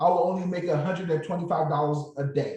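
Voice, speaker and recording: With a slight Nigerian accent, a man speaks at a high pitch. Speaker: former nurse turned options trader. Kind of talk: motivational talk to online group.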